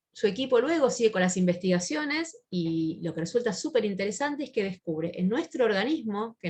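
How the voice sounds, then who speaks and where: A somewhat breathy woman at medium pitch speaks with very wide pitch swings. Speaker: psychiatrist. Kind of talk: lecture. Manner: fast; halting with fillers.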